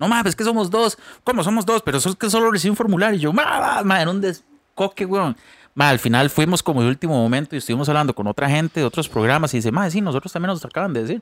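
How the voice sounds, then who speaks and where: Talking very fast, a man with a high voice swings very widely in pitch, and the sound is dry and close with no echo. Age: 30s. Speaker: podcast co-host, musician. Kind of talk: casual chat.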